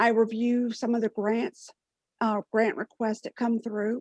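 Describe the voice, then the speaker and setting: A woman's normal speaking voice, fairly high in pitch, at a moderate pace with a dry, close sound with no echo. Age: 50s. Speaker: registered nurse and panelist. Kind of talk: panel discussion. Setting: online webinar.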